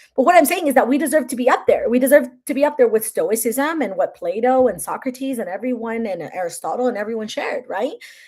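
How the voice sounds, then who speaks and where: Talking at a very fast pace with a Spanish accent, a woman uses a high pitch and lively intonation. Her tone is animated. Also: very clean recording, silent background. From Mexico. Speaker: content creator and author. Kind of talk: livestream chat. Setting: live stream.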